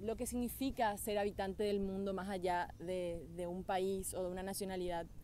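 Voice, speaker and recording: A woman with a dark, mellow tone talks at a moderate pace, her dry sound carrying no echo over light background noise. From Paraguay. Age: 20s. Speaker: beauty pageant winner. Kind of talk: testimonial talk to camera. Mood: reflective, heartfelt. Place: forest. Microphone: phone near.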